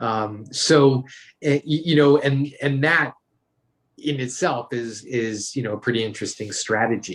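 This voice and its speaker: Using a normal speaking voice, a man talks fairly slowly at medium pitch with ordinary pitch variation. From New York. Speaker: author and brand consultant. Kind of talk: interview.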